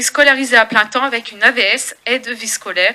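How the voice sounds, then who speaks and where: Intonation remains fairly even throughout. The pace is moderate. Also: woman. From northern France, Gravelines. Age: 20s. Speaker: parent giving testimony. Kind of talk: testimony. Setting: public meeting with audience. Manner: halting.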